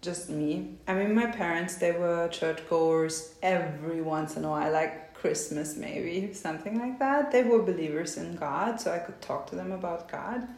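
Noticeable background noise and audible room echo surround a woman with a fairly low pitch. She keeps a moderate pace with hardly any pauses. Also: ordinary pitch variation. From East Germany. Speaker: tantra teacher. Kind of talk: interview.

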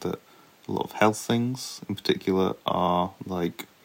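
In a very clean recording with a silent background, a man with a British accent speaks at a very deep, low pitch. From UK. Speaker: podcast co-host, layperson. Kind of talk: casual chat.

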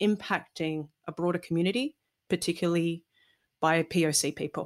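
A woman talks with an Australian accent at a fairly low pitch. The recording is very clean, with a silent background. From Melbourne, Australia. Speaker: TV presenter and DJ. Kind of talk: casual interview chat.

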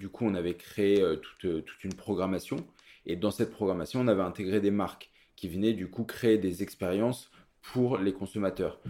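A man's dark, mellow voice, fairly low in pitch, with fairly even intonation at a moderate pace. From Paris, France. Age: 30s. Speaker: butcher. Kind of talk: interview. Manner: hesitant, many fillers.

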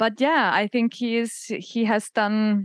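Speech from a woman with a German accent. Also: dry, close sound with no echo. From Austria. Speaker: comedian and author. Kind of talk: comedic casual chat.

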